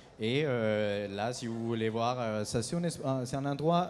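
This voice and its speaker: A man with a Colombian accent, at a fairly slow pace and with ordinary pitch variation. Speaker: coffee company founder. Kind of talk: conference talk. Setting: stage with audience at trade show. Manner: hesitant, many filler sounds.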